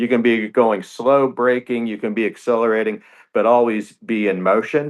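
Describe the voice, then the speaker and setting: A man with an unremarkable speaking voice speaks at a moderate pace and medium pitch, with fairly even intonation. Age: 60s. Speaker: racing team co-founder and business executive. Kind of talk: radio interview.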